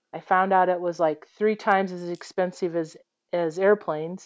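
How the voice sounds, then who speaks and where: A woman with a Midwestern American accent speaks at medium pitch and a moderate pace. The sound is dry and close with no echo, over a quiet background. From US Midwest, Iowa. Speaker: airline captain. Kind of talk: interview, personal story.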